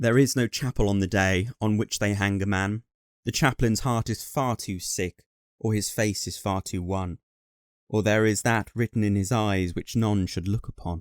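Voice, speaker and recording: In a British accent, a man speaks with a fairly low pitch and fairly even intonation, the sound dry and close with no echo and the recording very clean against a silent background. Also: moderate pace. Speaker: voice actor. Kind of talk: poetry reading.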